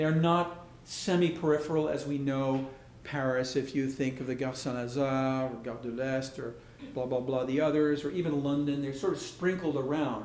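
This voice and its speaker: At a moderate pace, a man with a fairly high pitch speaks with fairly even intonation amid audible room echo. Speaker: architect. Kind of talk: lecture.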